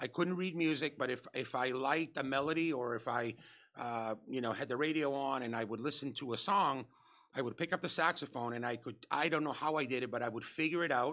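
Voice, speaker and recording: A bright, sharp voice with a Spanish accent at a fairly quick pace, ordinary pitch variation, and a very clean recording with a silent background. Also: man. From Spain. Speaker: nightclub general manager and former DJ. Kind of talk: casual interview, storytelling.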